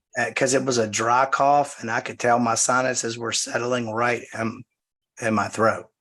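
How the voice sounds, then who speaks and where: Speaking with a Southern US accent, a man with a bright, sharp tone keeps a monotone, flat intonation. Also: medium pitch for a man, moderate pace. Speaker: pastor leading Bible study. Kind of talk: casual chat before Bible study. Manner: hesitant, many fillers.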